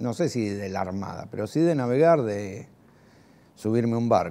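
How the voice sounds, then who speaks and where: A voice with a dark, mellow tone and a Rioplatense accent speaks at a fairly slow pace with lively intonation. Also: man. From Argentina, Lanús (Greater Buenos Aires); Buenos Aires, Argentina. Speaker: war veteran. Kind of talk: testimony. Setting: recorded interview. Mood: reflective, calm, some animation. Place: home room.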